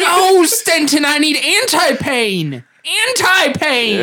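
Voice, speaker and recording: A put-on character voice speaks very slowly at a high pitch. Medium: actual play. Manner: panicky, anguished.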